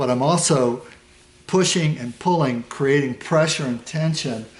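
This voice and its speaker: An unremarkable speaking voice is delivered with fairly even intonation. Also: man. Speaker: Thai yoga manual therapy practitioner and teacher. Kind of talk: instructional demonstration narration while treating a client. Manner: calm, explanatory.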